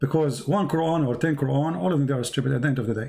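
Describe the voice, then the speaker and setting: Amid audible room echo, a man talks at a very fast pace in a fairly high, somewhat breathy voice with a dark, mellow tone and ordinary pitch variation. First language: not English. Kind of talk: live debate with a caller. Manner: animated.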